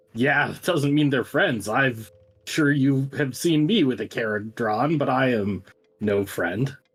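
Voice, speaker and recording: The speaker uses a put-on character voice. Its pitch sits low to middle. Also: fairly slow pace. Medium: actual play. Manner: gruff, scornful.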